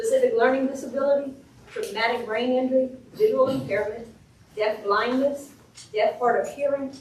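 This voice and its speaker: A woman's high voice with ordinary pitch variation and audible room echo. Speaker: special education administrator. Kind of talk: training presentation. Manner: fast; passionate.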